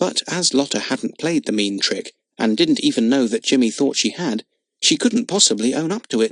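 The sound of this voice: Reading happens in an unforced voice. Nothing much sounds behind it.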